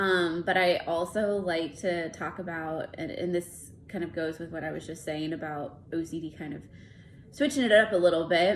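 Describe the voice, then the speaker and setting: A woman's fairly low voice, fairly quick yet broken by long, frequent pauses, with ordinary pitch variation and big swings in loudness. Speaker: licensed counselor. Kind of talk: casual talk to camera. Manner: hesitant, many fillers.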